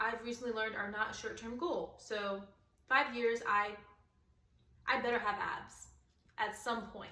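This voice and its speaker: A woman speaks at a moderate pace with fairly even intonation and a fairly high pitch. Her long, frequent pauses carry some audible room echo. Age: 20s. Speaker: military servicewoman and podcast co-host. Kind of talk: casual chat.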